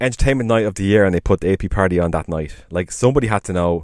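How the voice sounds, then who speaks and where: The speaker is a man. His voice sounds dry and close with no echo, on a very clean recording with a silent background. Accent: Irish. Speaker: podcast co-host. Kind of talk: casual chat.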